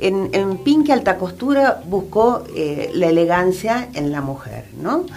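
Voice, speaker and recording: A woman talks at a very slow pace, her pitch swinging very widely. Music plays behind her and room echo is audible. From Argentina, raised mostly in Buenos Aires. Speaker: fashion designer. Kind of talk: radio interview. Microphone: too far from the mic at first.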